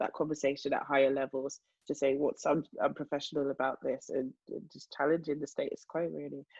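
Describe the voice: Low-pitched with a slightly husky edge and a slightly mellow tone, a woman talks at a fairly quick pace with little pitch movement. The sound is dry and close, with no echo.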